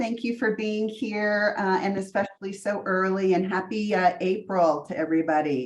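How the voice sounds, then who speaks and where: A woman's moderate pace is set against noticeable noise behind her. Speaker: meeting facilitator. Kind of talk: meeting roll call.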